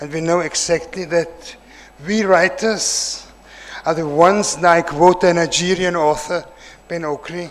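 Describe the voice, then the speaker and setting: A man with a German accent, high pitch, fairly even intonation and a fairly slow pace, over noticeable background noise. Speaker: writer, keynote speaker. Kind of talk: keynote speech.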